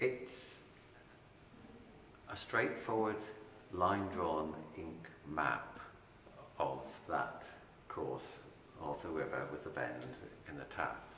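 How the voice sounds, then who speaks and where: Very slow, lively speech broken by long, frequent pauses, over noticeable background noise. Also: man, very deep, low pitch for a man. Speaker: poet. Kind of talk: author talking about his book.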